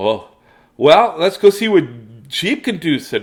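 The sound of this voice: The speaker uses an unforced reading voice.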